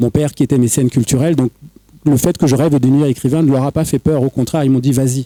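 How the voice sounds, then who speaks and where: Heard in a dry, close sound with no echo, a man talks very fast in a dark, mellow tone with fairly even intonation. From Cameroon. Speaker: writer and poet. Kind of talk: panel discussion. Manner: halting.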